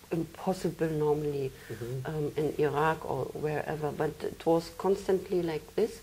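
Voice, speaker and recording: Her delivery is at a fairly slow pace, and this woman uses ordinary pitch variation. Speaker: interview guest. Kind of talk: interview answer. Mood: calm, reflective. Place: studio. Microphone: lapel.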